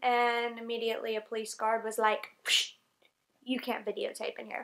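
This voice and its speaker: In a very clean recording with a silent background, a woman with a Southern US accent speaks at a moderate pace in a high pitch. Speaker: English teacher in Japan, vlogger. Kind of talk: casual vlog talk to camera.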